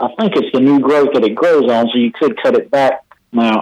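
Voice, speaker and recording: This man has a normal speaking voice, pitched fairly high, with lively intonation. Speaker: extension agent. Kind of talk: radio interview about gardening.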